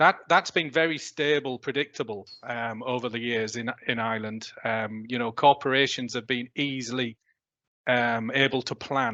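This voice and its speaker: A man's medium-pitched voice with a British accent, bright and sharp in tone, at a moderate pace with fairly even intonation, dry and close with no echo. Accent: non-Irish, British. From UK. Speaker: technology industry executive. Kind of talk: panel discussion. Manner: hesitant, many fillers.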